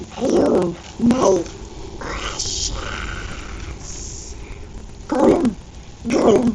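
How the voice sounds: A put-on character voice at a very slow pace, with long, frequent pauses and clear background noise.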